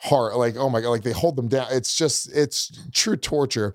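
This is a man with an ordinary speaking voice. He keeps a moderate pace with ordinary pitch variation. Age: 40s. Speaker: comedian. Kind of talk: casual chat.

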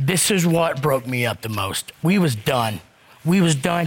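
A man speaks at a fairly slow pace and a fairly high pitch with lively intonation. Noticeable background noise is present. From US South. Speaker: court show defendant. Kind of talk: heated debate.

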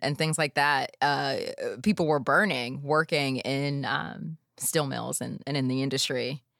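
With a Pittsburgh accent, a woman talks in a very deep, low voice. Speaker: podcast host. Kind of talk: casual interview.

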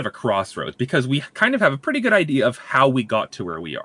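Very wide pitch swings mark this man's bright, sharp tone. The sound is dry and close, with no echo. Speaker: science segment contributor. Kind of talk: casual chat with science explanation.

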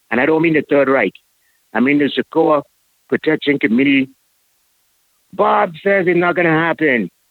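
A man speaks at a moderate pace with long, frequent pauses. His loudness stays very even, and his pitch variation is ordinary. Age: 50s. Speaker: caller. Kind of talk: casual chat. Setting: phone call. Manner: halting.

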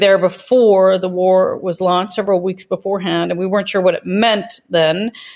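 At a moderate pace, a woman speaks with a medium pitch in an unremarkable speaking voice. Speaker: think tank director. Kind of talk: interview.

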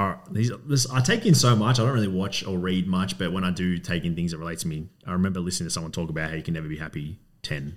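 A man with an Australian accent, very deep and low in pitch, at a very fast pace. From Melbourne, Australia (Coburg). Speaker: business owner. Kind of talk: casual interview.

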